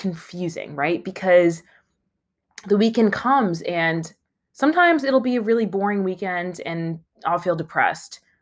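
The recording is very clean, with a silent background. A woman with a fairly low pitch speaks at a fairly slow pace with lively intonation.

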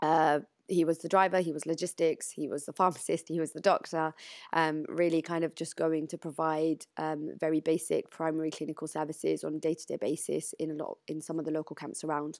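A woman with a British accent speaks in a very deep, low pitch with monotone, flat intonation. The sound is dry and close with no echo, on a very clean recording with a silent background. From UK. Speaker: charity director. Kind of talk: interview. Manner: hesitant, many fillers.

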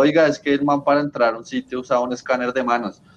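A man is talking here. His pace is very fast. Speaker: podcast co-host guesting on another show. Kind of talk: casual chat.

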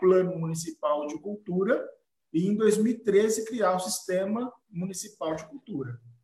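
A man speaks at a very slow pace in a high voice. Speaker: blog editor and event host. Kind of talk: live-streamed panel discussion.

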